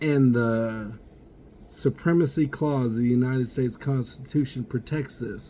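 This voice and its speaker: A man speaks at a moderate rate with background noise clearly noticeable. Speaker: vlogger. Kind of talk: personal rant. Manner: loud; animated.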